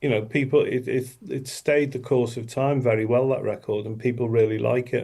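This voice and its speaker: With a dark, mellow tone, a man speaks at a moderate pace in a somewhat breathy, monotone, flat delivery with hardly any pauses. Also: medium pitch for a man. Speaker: musician, former band frontman. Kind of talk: interview.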